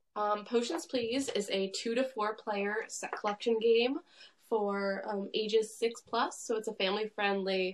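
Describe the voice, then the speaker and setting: This is a plain, everyday voice with an American accent. Its pitch variation is ordinary. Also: woman. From Long Island, New York. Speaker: board game designer and artist. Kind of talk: casual chat. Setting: facebook live stream.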